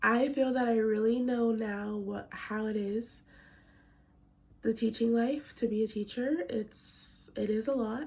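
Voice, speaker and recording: Her pace is fairly slow. This woman's voice is somewhat breathy. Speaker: student teacher. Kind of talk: reflection monologue. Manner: casual, filler-heavy.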